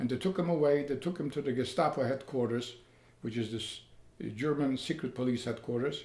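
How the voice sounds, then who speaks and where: Somewhat breathy, a man talks at a fairly quick pace and a medium pitch with ordinary pitch variation. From Poland, Lodz. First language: Polish or Yiddish. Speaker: Holocaust survivor. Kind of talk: testimony.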